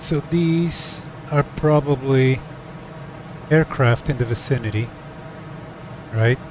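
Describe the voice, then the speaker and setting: With long, frequent pauses and a very slow pace, a man with a fairly high pitch and ordinary pitch variation speaks against noticeable background noise. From Portugal. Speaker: flight sim streamer. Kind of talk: casual chat. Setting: live stream. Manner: hesitant, many fillers.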